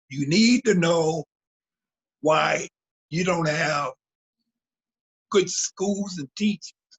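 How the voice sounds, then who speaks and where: A man's high-pitched voice at a very slow pace, with ordinary pitch variation and long, frequent pauses. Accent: American. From US West Coast (San Diego). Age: 70s. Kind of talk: interview.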